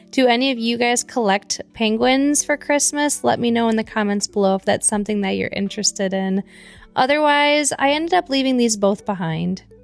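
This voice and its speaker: Over background music, a woman with an American accent speaks at a fairly quick pace, her fairly high voice full of lively intonation. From Michigan, east side. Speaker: thrift reseller vlogger. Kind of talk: casual vlog narration. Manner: fast; animated.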